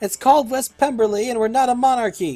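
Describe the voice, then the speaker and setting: A man shouting very fast in a put-on character voice, extremely high-pitched, with ordinary pitch variation. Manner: shouting, indignant.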